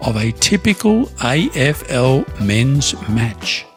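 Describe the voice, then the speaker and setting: A man with an Australian accent and very wide pitch swings, music in the background. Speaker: English teacher podcaster. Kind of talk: slow English learning podcast. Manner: slow, clear.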